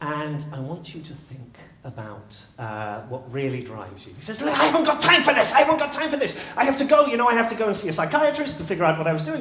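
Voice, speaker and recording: A man speaks at a very fast pace and a high pitch, with very wide pitch swings. Noticeable background noise runs underneath. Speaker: public speaker, storytelling coach. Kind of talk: live talk telling a story. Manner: animated.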